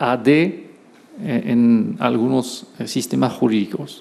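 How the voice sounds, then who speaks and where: With a French accent and lively intonation, a man speaks amid audible room echo. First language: French (speaking Spanish). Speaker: law professor. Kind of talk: lecture. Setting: auditorium. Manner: halting, with hesitations.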